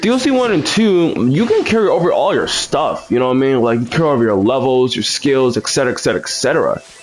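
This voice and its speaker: A man's very fast speech with hardly any pauses and very even loudness, over noticeable background noise. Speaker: gaming livestreamer. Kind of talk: casual gameplay commentary. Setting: livestream. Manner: halting, many fillers.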